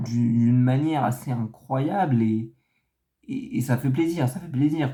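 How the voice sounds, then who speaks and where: A man speaks at a very slow pace in a medium pitch. His tone is dark and mellow, and somewhat breathy. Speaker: football commentator youtuber. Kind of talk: casual video analysis monologue. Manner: halting, many hesitations.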